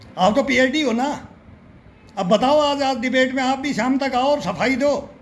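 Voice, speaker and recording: Spoken at a moderate pace in an animated tone, the voice carries noticeable background noise and audible room echo. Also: man. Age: 60s. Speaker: political commentator. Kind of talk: political rant.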